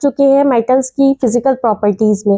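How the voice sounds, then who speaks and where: Recorded with a dry, close sound and no echo, a woman speaks in a dark, mellow tone with ordinary pitch variation. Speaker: school chemistry teacher. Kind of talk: tutorial.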